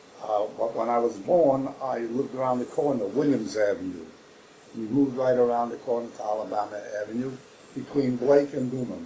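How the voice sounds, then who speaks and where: The speaker talks at a fairly quick pace in a Brooklyn accent, with ordinary pitch variation. Noticeable background noise runs throughout. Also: man, medium pitch for a man. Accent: New York (Brooklyn). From New York City, Brooklyn. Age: 80s+. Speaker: oral history interviewee. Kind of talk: oral history interview. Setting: library.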